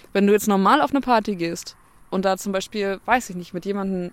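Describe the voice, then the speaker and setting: A woman at medium pitch with a fairly quick pace and fairly even intonation. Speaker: podcast co-host. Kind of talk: casual chat. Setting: outdoors on a bench.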